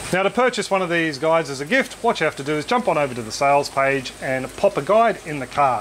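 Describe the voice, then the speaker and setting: A man in an Australian accent, fairly high in pitch, with lively intonation and a fairly quick pace over light background noise. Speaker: YouTube aquaponics educator. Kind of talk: product walkthrough tutorial. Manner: casual, friendly. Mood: friendly, thankful.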